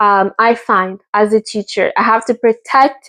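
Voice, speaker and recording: A woman with a Quebec accent at a moderate pace. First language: French. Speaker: teacher, vlogger. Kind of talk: casual talking-head vlog. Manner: hesitant, many fillers.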